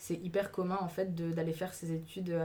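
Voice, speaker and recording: A woman with a fairly low pitch talks at a fairly quick pace. Her intonation is monotone and flat. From Alsace, Mulhouse. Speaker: student. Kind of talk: casual chat. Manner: hesitant.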